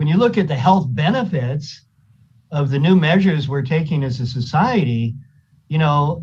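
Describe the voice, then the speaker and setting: Lively in intonation, a man speaks at a moderate pace and fairly high pitch in an ordinary speaking voice. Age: 60s. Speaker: county supervisor. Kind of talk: public meeting discussion. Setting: video call.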